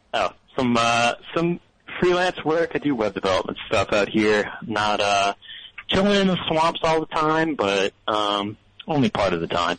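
A man at medium pitch swings his pitch very widely while his loudness stays very even. He goes at a fairly slow pace, and background noise is noticeable. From New Orleans, Louisiana. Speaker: caller, web developer. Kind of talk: call-in conversation. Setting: phone call. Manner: halting, many fillers.

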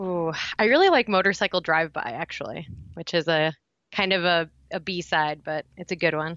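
A woman speaks with a Midwestern American accent. The sound is dry and close with no echo, against a quiet background. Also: fairly low pitch for a woman, ordinary pitch variation, moderate pace. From Indiana. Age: 20s. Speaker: acupuncturist and recovery guest. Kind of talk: personal testimony interview.

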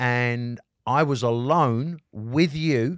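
An animated man with an English accent at medium pitch, in a very clean recording with a silent background. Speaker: rock guitarist. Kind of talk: casual chat. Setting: studio. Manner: animated, talkative.

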